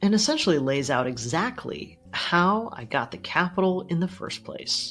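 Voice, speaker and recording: Recorded very cleanly against a silent background, a woman speaks at a moderate pace with very wide pitch swings. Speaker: finance YouTuber, dividend investor. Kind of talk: casual vlog talk to camera.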